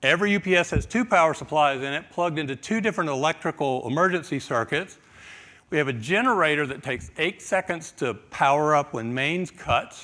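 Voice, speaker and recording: A man speaks quickly in a bright, sharp tone. His pitch is fairly high, and his intonation is lively. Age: 60s. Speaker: IT manager. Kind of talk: conference talk.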